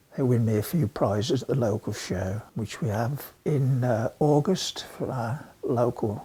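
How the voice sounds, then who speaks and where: With an English accent, a man speaks in a dark, mellow tone that is somewhat breathy, at medium pitch with ordinary pitch variation. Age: 80s+. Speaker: amateur gardener. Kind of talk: interview monologue.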